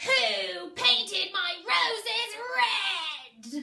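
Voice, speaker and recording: This is a put-on character voice that sounds female. It sits at an extremely high pitch. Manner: scary, commanding.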